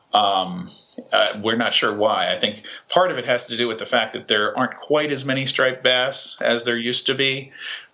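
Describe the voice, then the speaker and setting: A man with an American accent at a medium pitch and moderate pace, ordinary pitch variation, and noticeable background noise. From New York, Long Island. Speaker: fishing guide and Spanish teacher. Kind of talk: casual chat.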